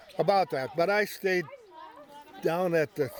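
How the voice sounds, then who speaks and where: With an American accent, a man talks at a fairly slow pace against noticeable background noise. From western South Dakota, rural. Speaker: family elder, grandfather. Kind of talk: family interview, reminiscing. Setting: family gathering at home ranch. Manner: halting.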